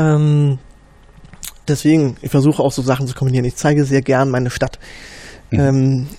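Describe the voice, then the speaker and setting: A man speaks at a fairly high pitch in a dark, mellow tone with monotone, flat intonation. His pace is moderate, broken by long, frequent pauses. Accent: East Berlin. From East Berlin, Marzahn. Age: 30s. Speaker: Wikipedia volunteer administrator. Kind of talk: casual interview. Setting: office room. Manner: hesitant, many fillers.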